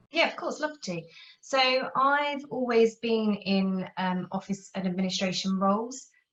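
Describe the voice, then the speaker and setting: Intonation rises and falls in a lively way while the pace stays fairly slow. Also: woman, medium pitch for a woman. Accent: London. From England, near London. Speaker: office management consultant. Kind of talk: interview.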